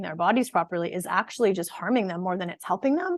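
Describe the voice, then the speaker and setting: Against a quiet background, a woman speaks with ordinary pitch variation in a dry, close sound with no echo. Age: 40s. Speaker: fitness and nutrition coach, physical therapist. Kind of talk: online workshop presentation.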